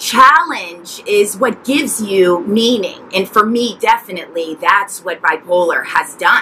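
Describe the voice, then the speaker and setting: Over light background noise, a woman speaks fairly slowly with lively intonation. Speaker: mental health vlogger. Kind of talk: personal story vlog. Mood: earnest, emotional. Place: garden.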